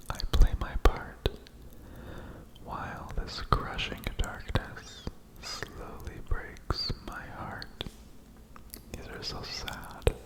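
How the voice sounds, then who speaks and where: Whispering in a soothing tone, a man goes at a very slow pace with long, frequent pauses and big swings in loudness, over noticeable background noise. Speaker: ASMR creator. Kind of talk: poetry reading. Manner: whispered, soothing.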